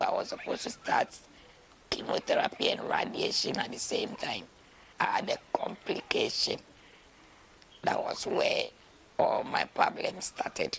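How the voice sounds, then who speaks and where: A woman whispers fairly slowly with long, frequent pauses while noticeable background noise plays. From Ghana. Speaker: cancer survivor, midwife. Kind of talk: interview testimony.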